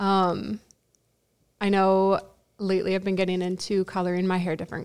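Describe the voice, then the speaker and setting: A woman with an American accent, medium pitch and moderate pace, on a very clean recording with a silent background. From Dubuque, Iowa, US Midwest. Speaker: guest.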